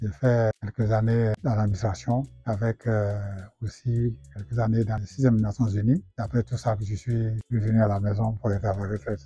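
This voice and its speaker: Against a quiet background, a man talks at a moderate pace in a fairly low, somewhat breathy voice with a dark, mellow tone and fairly even intonation. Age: 70s. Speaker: retired rural engineer. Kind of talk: testimony. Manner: halting, hesitant.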